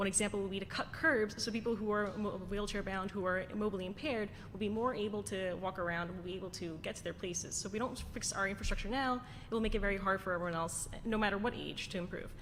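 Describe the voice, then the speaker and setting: A woman with an American accent races along at a very fast pace with hardly any pauses, her medium-pitched voice keeping fairly even intonation amid audible room echo. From Queens, New York City. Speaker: city council candidate. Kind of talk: candidate forum answer. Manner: halting.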